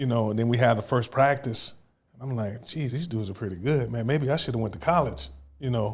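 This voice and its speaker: This man talks at a very fast pace, somewhat breathy. His pitch sits in the medium range. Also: ordinary pitch variation. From Southern California, Long Beach. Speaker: former professional baseball player. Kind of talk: casual interview chat. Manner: halting, many repetitions.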